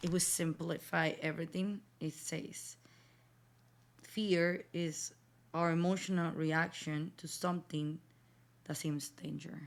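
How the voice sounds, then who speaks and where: A woman with a fairly low pitch speaks at a very slow pace in a monotone, flat intonation, leaving long, frequent pauses. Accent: strong Spanish. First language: Spanish. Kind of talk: casual faith talk. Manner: hesitant, with fillers.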